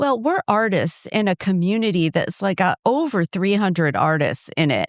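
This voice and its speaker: Energetic in tone, a woman at medium pitch speaks at a moderate pace with lively intonation and very even loudness. The sound is dry and close with no echo, on a very clean recording with a silent background. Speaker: podcast co-host, artist. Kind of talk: casual chat.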